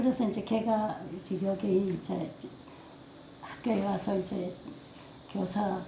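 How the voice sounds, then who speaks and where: Amid noticeable background noise and audible room echo, the speech comes at a fairly slow pace with monotone, flat intonation. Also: woman. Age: old. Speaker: oral history interviewee. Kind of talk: oral history interview. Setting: seniors' center room.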